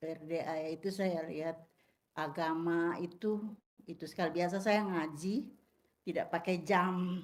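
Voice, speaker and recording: A woman's fairly low voice, monotone and flat, at a fairly slow pace. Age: 60s. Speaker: retired religious school teacher. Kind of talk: casual chat.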